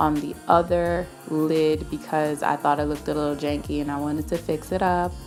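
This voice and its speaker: Music in the background behind a woman's moderate pace. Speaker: beauty YouTuber. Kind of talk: makeup tutorial voice-over. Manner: casual, chatty.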